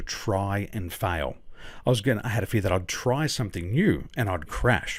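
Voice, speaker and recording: In an Australian accent, this somewhat breathy voice moves with lively intonation on a very clean recording with a silent background. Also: man. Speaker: business coach. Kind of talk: interview.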